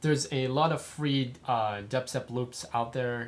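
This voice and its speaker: A man speaks in an unremarkable speaking voice. His pace is fairly slow, with ordinary pitch variation. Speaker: music production tutor. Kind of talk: tutorial.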